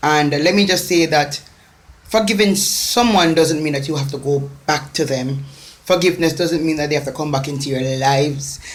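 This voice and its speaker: With a Jamaican accent, the speaker talks at a moderate pace with ordinary pitch variation, over noticeable background noise and audible room echo. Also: woman, very deep, low pitch for a woman. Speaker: motivational speaker. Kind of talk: motivational talk. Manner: emphatic, repetitive.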